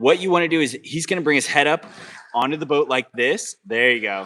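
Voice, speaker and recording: Using a plain, everyday voice, a man talks at a fairly quick pace with lively intonation. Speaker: kayak instructor. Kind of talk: live-streamed instructional demo.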